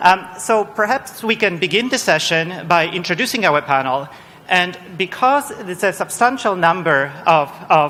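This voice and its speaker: Speech in a Polish accent with ordinary pitch variation, set against noticeable background noise. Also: man. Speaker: panel chair, research director. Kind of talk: panel moderation. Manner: halting, many repetitions.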